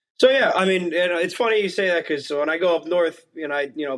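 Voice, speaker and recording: A man with a New Jersey accent is speaking. His pitch is high, with ordinary variation. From northern New Jersey, Bergen County. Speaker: college hockey goalie. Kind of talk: podcast interview.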